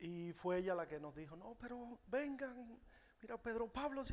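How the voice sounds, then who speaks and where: Speaking with a Cuban accent, a man talks at a fairly slow pace with very wide pitch swings. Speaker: musician. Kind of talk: testimony. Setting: church. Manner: halting.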